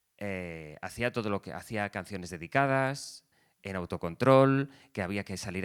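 On a very clean recording with a silent background, an ordinary speaking voice comes across at a moderate pace with a dry, close sound and no echo. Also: man. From Valencia region, Spain (Ribera, Alberic). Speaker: radio journalist. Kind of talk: interview conversation.

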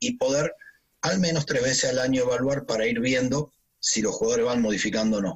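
Somewhat breathy, a man talks at a moderate pace while his pitch swings very widely. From Argentina. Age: 50s. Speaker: physical trainer. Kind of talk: interview.

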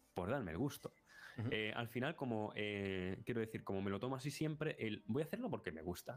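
With lively intonation and a fairly quick pace, a man speaks at a medium pitch in an ordinary speaking voice. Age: 30s. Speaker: YouTuber, film and series analyst. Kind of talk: casual chat.

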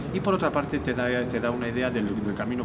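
A man talks fairly quickly with ordinary pitch variation while noticeable noise runs in the background. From Spain. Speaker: physicist and novelist. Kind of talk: interview. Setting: noisy book fair press area. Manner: halting, many repetitions.

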